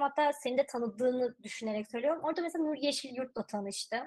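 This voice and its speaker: Over a quiet background, a woman speaks with a high pitch and lively intonation. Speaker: cybersecurity specialist; guest. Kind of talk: casual interview. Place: home room. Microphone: video call.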